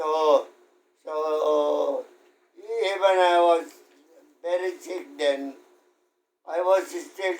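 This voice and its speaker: A man with a high pitch, a Filipino accent and a very slow pace. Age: 80s+. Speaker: World War II veteran. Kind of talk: interview answer.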